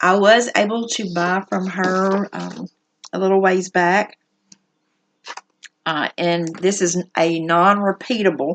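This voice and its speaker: A woman's medium-pitched voice in a Southern US accent with monotone, flat intonation. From US South. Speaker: needlework shop owner. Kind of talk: casual show-and-tell video. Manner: casual, many fillers.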